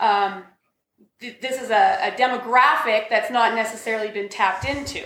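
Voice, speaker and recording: A woman with a plain, everyday voice speaks at a fairly high pitch and a moderate pace. Her pitch varies in an ordinary way, while her loudness swings widely. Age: 40s. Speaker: podcast host. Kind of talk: casual chat.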